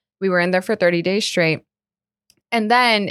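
A plain, everyday voice from a woman at medium pitch, with ordinary pitch variation over a quiet background. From Colombia, moved to South Florida. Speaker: commercial real estate advisor. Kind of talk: casual interview.

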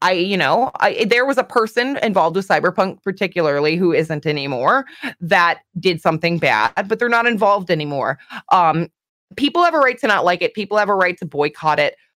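A woman with a Canadian accent and a plain, everyday voice speaks fairly quickly at a medium pitch with lively intonation. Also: dry, close sound with no echo. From Canada. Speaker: streamer. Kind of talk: casual chat.

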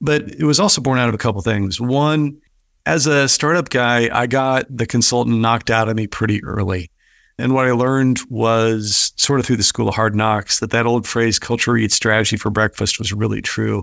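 A man's unremarkable speaking voice at medium pitch, with ordinary pitch variation, moderate pace and very even loudness, on a very clean recording with a silent background. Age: 50s. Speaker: business executive and author. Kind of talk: interview.

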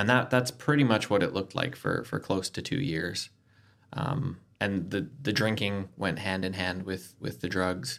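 Heard on a very clean recording with a silent background, a man with a Canadian accent has an ordinary speaking voice, a fairly low pitch with ordinary pitch variation, and a moderate pace. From Canada. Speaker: recovering addict sharing his story. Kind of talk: personal testimony in casual interview.

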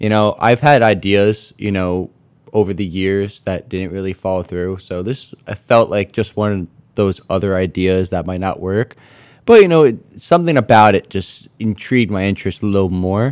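This is a plain, everyday voice from a man with a fairly low pitch and ordinary pitch variation. The recording is very clean with a silent background. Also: moderate pace. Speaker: university student entrepreneur. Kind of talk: interview. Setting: studio. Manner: casual with many fillers.

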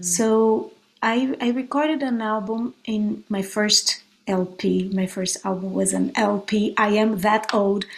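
Speaking at a very slow pace with a Brazilian Portuguese accent, a woman uses a fairly high pitch and ordinary pitch variation. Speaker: guitarist and songwriter. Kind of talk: interview.

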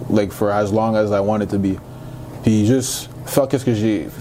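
Someone with a Canadian accent talks at a moderate pace and with fairly even intonation, over noticeable background noise. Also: man. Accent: Canadian accent when speaking English. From Montreal, Quebec. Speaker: college football player. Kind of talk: interview.

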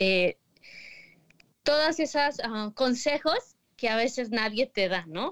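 A woman's high-pitched, lively voice at a very slow pace, with long, frequent pauses and a dry, close sound with no echo. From State of Mexico. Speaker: magazine editor. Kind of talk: casual chat.

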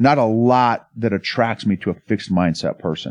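At a moderate pace, a man with an American accent and a medium pitch talks in an animated tone, the sound dry and close with no echo against a quiet background. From Oklahoma, US. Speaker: entrepreneur and leadership consultant, Army veteran. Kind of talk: casual interview chat.

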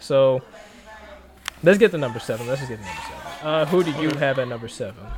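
There is noticeable background noise as a man speaks at a very fast pace, pitched fairly high, with lively intonation. His loudness swings widely, and he takes long, frequent pauses. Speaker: podcast host. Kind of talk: casual sports podcast chat. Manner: casual, laughing, banter.

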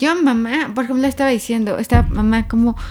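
An animated woman's voice over noticeable background noise. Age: 30s. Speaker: graphologist. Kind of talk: casual chat.

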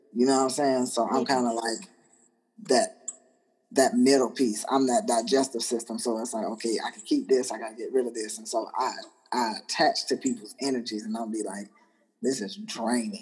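A man's unremarkable speaking voice, medium in pitch, at a moderate pace, with big swings in loudness. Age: 30s. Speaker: military veteran. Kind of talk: casual chat.

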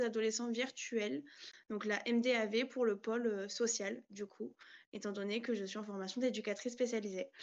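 A woman speaks in a normal speaking voice with fairly high pitch. Her pace is fairly slow and her intonation fairly even. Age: 20s. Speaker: trainee social educator. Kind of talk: casual online panel discussion.

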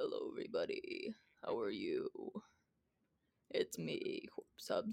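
Speaking in a put-on character voice, the speaker uses an extremely high pitch and a fairly slow pace. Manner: ominous, theatrical.

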